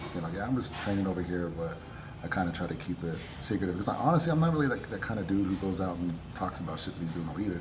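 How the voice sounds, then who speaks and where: A man speaks very fast in a very deep, low pitch, quietly, with audible room echo. Music plays in the background. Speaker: apparel brand owner and personal trainer. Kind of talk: casual chat. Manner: quiet in conversation, talks with hands.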